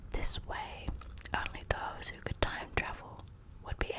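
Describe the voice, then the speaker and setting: A woman whispers over noticeable background noise. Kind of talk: ASMR fact reading while chewing gum. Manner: soft, intimate.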